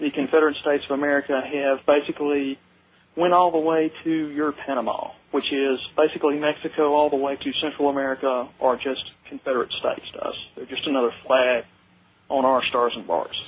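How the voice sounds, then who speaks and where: With a Southern US accent, a man speaks at a fairly quick pace in a fairly high voice with fairly even intonation. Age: young. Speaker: caller. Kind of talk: call-in radio conversation. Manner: halting, many fillers.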